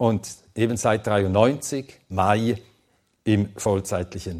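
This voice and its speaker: Long, frequent pauses break up speech with ordinary pitch variation. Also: man. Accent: Swedish. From Sweden, then Switzerland from age ten. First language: Swedish (speaking German). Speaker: Bible teacher. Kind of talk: lecture.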